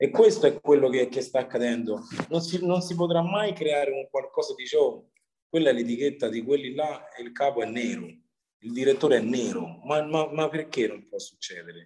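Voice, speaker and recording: Big swings in loudness mark this man's normal speaking voice, fairly high in pitch, with lively intonation at a moderate pace. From Rome, Italy. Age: 30s. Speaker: chef and rapper. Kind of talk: interview.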